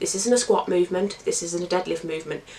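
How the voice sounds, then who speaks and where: A woman speaks over noticeable background noise. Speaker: fitness coach. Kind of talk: tutorial talk to camera.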